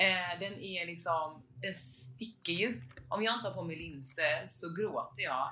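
In a room with audible echo, a woman with a very deep, low pitch talks at a very slow pace with lively intonation. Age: 20s. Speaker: podcast co-host. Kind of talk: casual chat.

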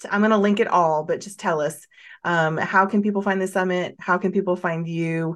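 This woman has a plain, everyday voice at a medium pitch. She keeps a moderate pace and fairly even intonation against a quiet background. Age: 40s. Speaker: podcast host. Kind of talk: casual interview chat.

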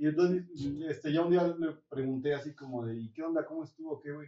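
A man talks at a fairly quick pace. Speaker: podcast host. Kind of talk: casual chat.

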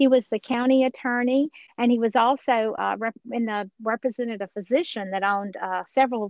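A fairly quick pace and ordinary pitch variation in an ordinary speaking voice. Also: woman. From Georgia, US South. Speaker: author and speaker. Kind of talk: interview, personal testimony.

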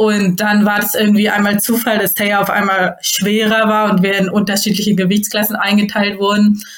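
A woman's medium-pitched, monotone voice with flat intonation and very even loudness, at a moderate pace with hardly any pauses. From northern Germany, near Hamburg. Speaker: judo athlete. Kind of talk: interview.

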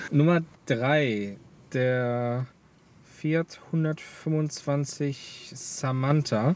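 Long, frequent pauses break up a man's very slow delivery. His pitch is fairly high, with ordinary pitch variation. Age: 20s. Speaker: car enthusiast. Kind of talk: casual chat.

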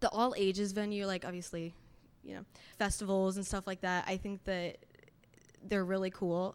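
A woman with an American accent talks at a moderate pace and medium pitch in monotone, flat intonation. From Indiana. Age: 20s. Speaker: singer-songwriter, college student. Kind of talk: panel discussion. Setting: stage with audience.

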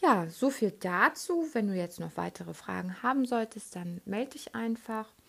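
Lively intonation with hardly any pauses. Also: woman, moderate pace. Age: 30s. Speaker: podcast host and relaxation trainer. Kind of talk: casual monologue. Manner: hesitant, many fillers.

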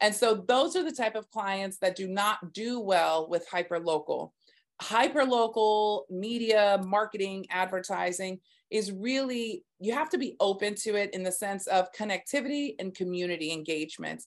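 A woman with an American accent and an unremarkable speaking voice, ordinary pitch variation, and a quiet background. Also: medium pitch for a woman, moderate pace. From Texas. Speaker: marketing and PR agency founder. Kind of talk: interview conversation.

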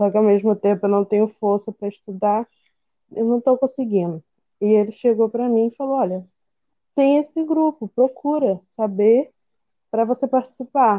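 With long, frequent pauses, a woman talks at a moderate pace in a fairly high pitch with ordinary pitch variation. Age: 20s. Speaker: veterinary student. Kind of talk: casual conversation, personal testimony.

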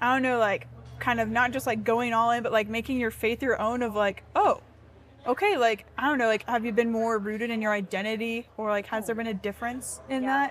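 A woman talks at a fairly quick pace with a fairly high pitch. It is an ordinary speaking voice. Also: fairly even intonation. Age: 20s. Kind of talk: casual chat.

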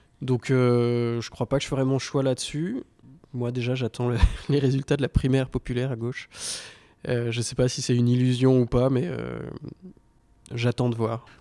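A man's dark, mellow tone in flat, monotone intonation, at a moderate pace with long, frequent pauses, in a dry, close sound with no echo. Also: medium pitch for a man. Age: 30s. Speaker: carpenter. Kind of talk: debate.

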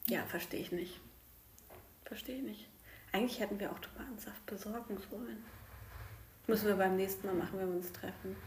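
Against noticeable background noise and audible room echo, a woman with a medium-pitched voice speaks with ordinary pitch variation and long, frequent pauses. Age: 30s. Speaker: podcast host, primary school worker. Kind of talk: casual chat. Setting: at home at the dining table.

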